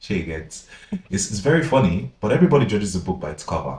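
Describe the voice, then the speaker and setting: The voice has a dark, mellow tone and is somewhat breathy. It moves at a fairly quick pace with very wide pitch swings. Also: man. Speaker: podcast co-host. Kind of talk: casual chat.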